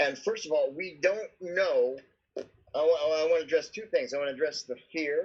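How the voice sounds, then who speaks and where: A man speaks in an ordinary speaking voice, pitched fairly high. His pace is moderate and his pitch varies in an ordinary way. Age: 60s. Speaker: subdeacon. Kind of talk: casual chat.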